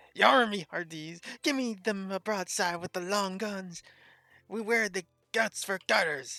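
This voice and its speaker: A put-on character voice at middle pitch and a fairly slow pace, in a very clean recording with a silent background. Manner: shouting, swaggering.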